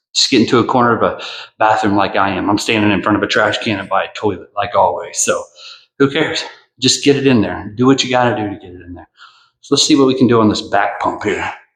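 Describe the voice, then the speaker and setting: A man talks at a very fast pace and medium pitch, with ordinary pitch variation. His loudness swings widely, and audible room echo surrounds the voice. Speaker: fitness vlogger. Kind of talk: casual vlog monologue. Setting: bathroom, then outdoors in a parking lot.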